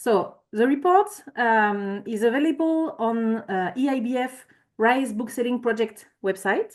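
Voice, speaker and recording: With a French accent, a woman speaks at a fairly slow pace with lively intonation and a high pitch. The background is quiet. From France. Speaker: climate consultant. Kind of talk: conference presentation. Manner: halting.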